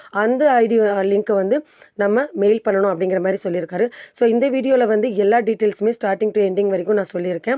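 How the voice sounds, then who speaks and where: The tone is dark and mellow, the pitch varies in an ordinary way, and the sound is dry and close with no echo. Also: woman, medium pitch for a woman, very even loudness. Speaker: YouTube tutorial creator. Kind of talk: tutorial. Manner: casual, conversational.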